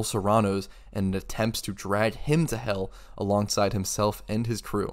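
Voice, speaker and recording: A man's serious, fairly low voice on a very clean recording with a silent background. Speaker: game reviewer. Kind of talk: scripted video essay narration. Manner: serious in tone.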